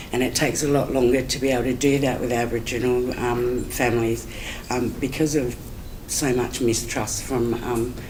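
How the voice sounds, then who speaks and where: Noticeable background noise sits behind a woman with a very deep, low pitch. She speaks at a moderate pace in a monotone, flat intonation. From Adelaide, South Australia. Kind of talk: conference talk. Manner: hesitant, conversational.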